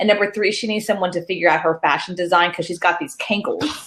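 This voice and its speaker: The speaker has an American accent and a very fast pace. Intonation stays fairly even. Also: woman. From Texas. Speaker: political panelist. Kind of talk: political panel discussion.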